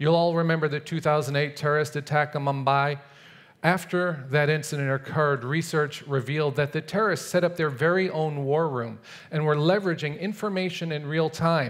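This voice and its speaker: The background is quiet as a man speaks at a moderate pace with fairly even intonation. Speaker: conference speaker. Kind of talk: prepared talk. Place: stage. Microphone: headset.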